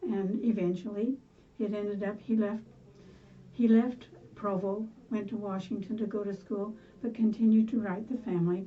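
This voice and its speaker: Long, frequent pauses break up a woman's somewhat breathy, medium-pitched speech, which keeps a fairly even intonation. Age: 80s+. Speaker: grandmother telling life stories. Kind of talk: oral history interview. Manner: halting.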